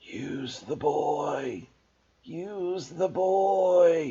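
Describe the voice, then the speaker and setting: A man whispers in a put-on character voice. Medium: read story. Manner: cold, menacing.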